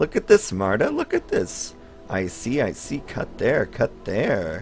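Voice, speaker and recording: Clear music plays in the background as a man puts on a character voice, sing-song and delivered at a fairly slow pace. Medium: solo performance. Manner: singsong, repetitive.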